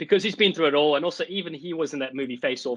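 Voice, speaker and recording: Speaking very fast with a South African accent, a man uses a fairly high pitch and ordinary pitch variation, in a dry, close sound with no echo. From South Africa, Cape Town. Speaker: rugby commentator. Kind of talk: casual chat. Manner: animated.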